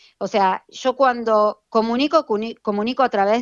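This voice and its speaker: A woman with a normal speaking voice, fairly high in pitch, at a fairly slow pace with ordinary pitch variation. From Buenos Aires, Argentina. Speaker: fashion influencer, accountant. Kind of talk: casual interview. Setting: remote call.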